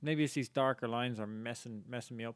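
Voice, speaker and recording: A man speaks with an Irish accent in a monotone, flat intonation. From Ireland. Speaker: game streamer. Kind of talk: live gameplay commentary.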